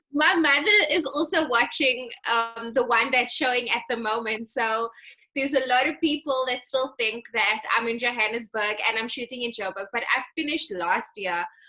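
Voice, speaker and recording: Noticeable background noise sits behind a woman with a high pitch. She speaks at a moderate pace with ordinary pitch variation. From South Africa, Western Cape West Coast (Atlantis). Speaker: actress. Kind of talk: casual interview chat.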